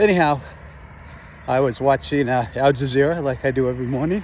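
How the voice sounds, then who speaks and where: Moderately paced male speech amid noticeable background noise. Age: 60s. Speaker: retired army officer vlogger. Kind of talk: casual monologue. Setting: outdoors walking by a road. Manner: halting, many fillers.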